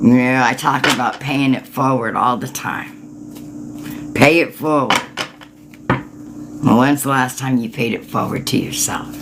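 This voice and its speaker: Noticeable background noise runs beneath fairly slow speech. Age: 60s. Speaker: tarot reader and energy healer. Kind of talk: tarot reading livestream, answering viewers. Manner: casual, informal.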